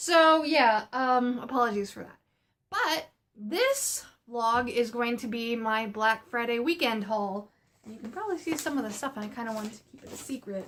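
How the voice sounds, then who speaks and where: A woman speaks at a moderate pace in a high voice with ordinary pitch variation. Her loudness swings widely. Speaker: art supply haul vlogger. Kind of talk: casual vlog.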